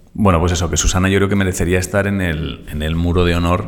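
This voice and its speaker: Here a man speaks fairly quickly. His voice is very deep and low. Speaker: podcast co-host. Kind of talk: casual chat.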